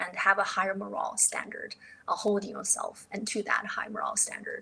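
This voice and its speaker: A woman speaks with a Chinese accent at a moderate pace. Noticeable background noise runs underneath. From northeast China. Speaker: entrepreneur, podcast guest. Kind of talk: casual interview conversation.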